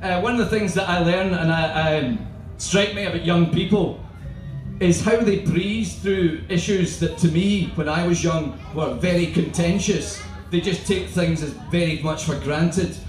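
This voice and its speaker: A high-pitched man with a Scottish accent at a moderate pace, fairly even intonation, audible room echo and faint music in the background. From Scotland. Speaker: performance poet. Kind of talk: stand-up style banter to live audience. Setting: live festival stage. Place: tent. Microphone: camera far.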